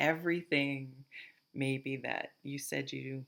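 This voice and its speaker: Monotone, flat delivery at a very slow pace in a Vermont accent, on a very clean recording with a silent background. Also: woman. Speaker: tarot reader. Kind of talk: tarot reading to camera. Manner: casual, thinking aloud with fillers.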